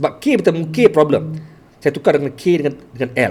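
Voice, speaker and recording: A man with a Malaysian accent speaks very fast in a fairly high pitch, his intonation lively. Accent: Malaysian Malay. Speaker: teacher and storyteller livestreamer. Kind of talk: live stream talk. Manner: halting with repetitions.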